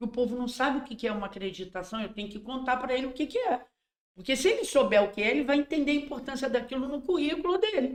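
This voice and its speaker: At a very fast pace, a woman speaks with a high pitch and lively intonation. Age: 60s. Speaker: endomarketing consultant. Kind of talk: casual podcast interview.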